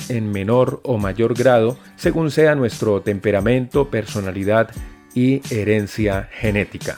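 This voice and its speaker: A man at a fairly slow pace with ordinary pitch variation, music playing behind him. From Colombia. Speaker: voice actor. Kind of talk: interview questions.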